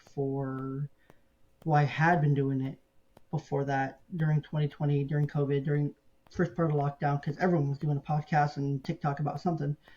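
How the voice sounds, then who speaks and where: Talking at a moderate pace, a man with a fairly high pitch sounds somewhat breathy, his intonation fairly even. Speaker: podcaster and sports blogger. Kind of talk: interview conversation. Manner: pauses and filler words.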